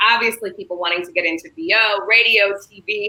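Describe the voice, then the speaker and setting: At a fairly high pitch, this woman talks in a normal speaking voice at a moderate pace. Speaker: radio host and voiceover artist. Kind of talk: interview host.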